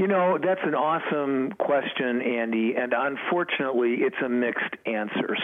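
Against noticeable background noise, a man of medium pitch talks at a moderate pace with lively intonation. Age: 70s. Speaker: food company representative. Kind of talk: promotional interview. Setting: phone call.

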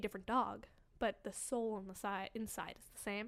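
Speaking at a fairly quick pace, a woman with an American accent has a normal speaking voice and a fairly high pitch. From Boston. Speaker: actor. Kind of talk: casual chat.

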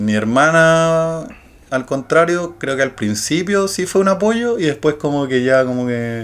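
A man with a Chilean accent speaks at a fairly slow pace in a fairly high pitch with lively intonation. The recording is very clean, with a silent background. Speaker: podcast co-host. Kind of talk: casual chat.

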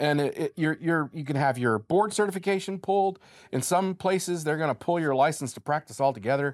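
Recorded dry and close with no echo, a man with a normal speaking voice talks at a fairly quick pace in a fairly high pitch, with ordinary pitch variation. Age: 40s. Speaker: bereaved father. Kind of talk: interview.

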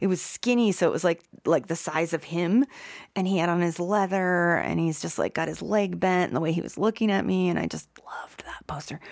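A woman with a fairly low pitch and an unremarkable speaking voice talks at a fairly quick pace on a very clean recording with a silent background. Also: ordinary pitch variation. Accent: American. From Ohio, Youngstown. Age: 50s. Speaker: concert photographer. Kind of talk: casual interview.

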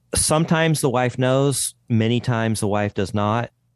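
At a moderate pace and against a quiet background, a man with a plain, everyday voice talks with ordinary pitch variation. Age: 50s. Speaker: podcast host, guest. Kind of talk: interview podcast.

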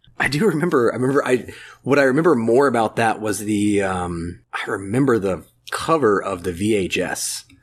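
Against a quiet background, a man with an American accent uses a normal speaking voice at medium pitch, moderate pace and lively intonation. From Florida, US South (Ocala). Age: 40s. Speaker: movie fan, guest commentator. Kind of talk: casual chat.

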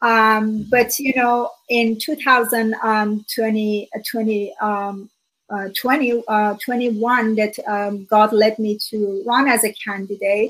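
Speaking at a very slow pace, a woman keeps her fairly high voice in a fairly even intonation. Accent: Iranian. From Iran. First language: Farsi. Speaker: author and speaker. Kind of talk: interview, personal testimony. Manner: earnest, hesitant with fillers.

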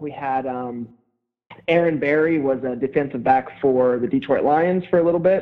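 Delivered at a moderate pace with ordinary pitch variation, this is a plain, everyday voice with an American accent. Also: man, fairly high pitch for a man. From Pennsylvania, Harrisburg. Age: 20s. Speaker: former college football player, CrossFit athlete. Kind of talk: casual interview.

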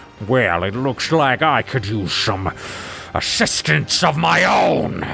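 A man growls in a put-on character voice with very wide pitch swings. Background noise is clearly audible. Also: fairly low pitch for a man, fairly slow pace. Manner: menacing, dark.

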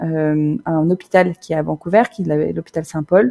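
The dry, close sound with no echo captures a woman's dark, mellow tone. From Normandy, France. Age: 30s. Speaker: expat mother. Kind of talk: interview testimony.

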